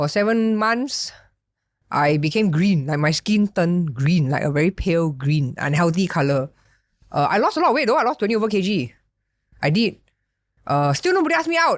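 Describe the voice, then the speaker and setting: A woman's fairly low voice at a fairly quick pace, animated in tone, with very wide pitch swings, very even loudness, and long, frequent pauses. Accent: Singaporean. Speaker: podcast host. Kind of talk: casual chat.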